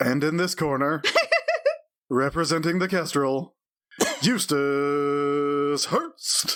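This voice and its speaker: Using a put-on character voice, a man speaks at a fairly high pitch and a very slow pace. Long, frequent pauses fill his speech. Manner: announcing a boxing match.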